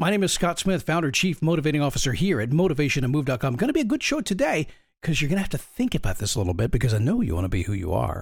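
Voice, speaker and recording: A man's fairly high voice with vocal fry, very fast and with very wide pitch swings, on a very clean recording with a silent background. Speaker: motivational podcast host. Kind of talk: motivational talk. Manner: casual, conversational.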